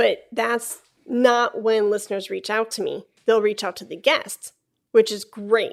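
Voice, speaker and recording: A woman with a Chicago accent speaks at a fairly slow pace, with big swings in loudness. The recording is very clean, with a silent background. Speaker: flutist and podcast host. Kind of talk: casual interview conversation.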